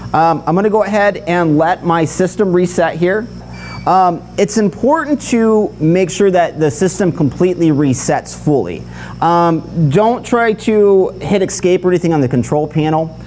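A man's high-pitched voice at a moderate pace, with ordinary pitch variation, very even loudness and light background noise. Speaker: product trainer. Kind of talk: tutorial. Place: workshop.

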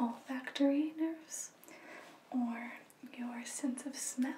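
A soft-spoken woman with a gentle tone talks very slowly in a high voice. Light background noise and audible room echo are present. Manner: soft, gentle ASMR speaking voice. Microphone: phone near.

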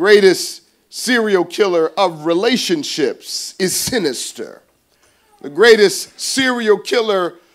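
Very slow speech from a man in a quiet setting. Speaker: pastor. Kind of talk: sermon. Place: church. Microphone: podium.

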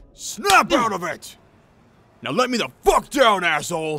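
This is a put-on character voice, raised and projected. It moves at a moderate pace with very wide pitch swings. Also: man, high pitch for a man. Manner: furious.

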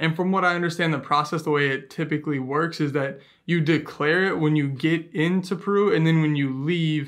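Against a quiet background, a man talks at a fairly quick pace with fairly even intonation and very even loudness. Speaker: travel vlogger. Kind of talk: casual vlog chat. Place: home room.

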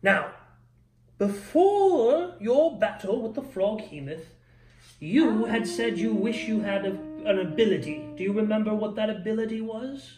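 With faint music in the background, a put-on character voice sounds warm in tone and fairly high in pitch. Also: moderate pace. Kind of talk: gentle bedtime-style game mastering. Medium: actual play. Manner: warm, encouraging, slightly grand.

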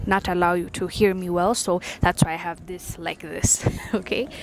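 Over light background noise, a woman speaks with monotone, flat intonation in a dry sound with no echo. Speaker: vlogger. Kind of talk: casual vlog chat. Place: street. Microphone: lapel.

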